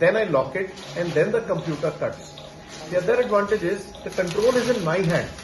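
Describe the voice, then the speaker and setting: Over noticeable background noise, a man with a high-pitched voice talks at a fairly quick pace with ordinary pitch variation. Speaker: orthopedic surgeon. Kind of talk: medical explanation to camera.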